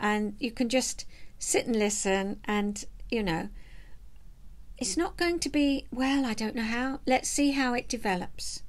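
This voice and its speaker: Speaking at a fairly slow pace, a woman uses a high-pitched voice with a relaxed tone. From southeast England. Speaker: vlogger and knitter, retired counsellor. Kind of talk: casual chat to camera. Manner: chatty, relaxed. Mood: warm, chatty, smiling. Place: home room. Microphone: webcam.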